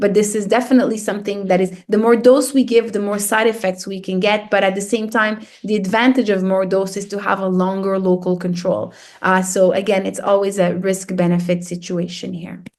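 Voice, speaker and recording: Audible room echo carries a woman's voice as she talks at a fairly quick pace with hardly any pauses and fairly even intonation. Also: medium pitch for a woman. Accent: slight French. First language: French. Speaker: radiation oncologist. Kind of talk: lecture. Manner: hesitant, many fillers and repetitions.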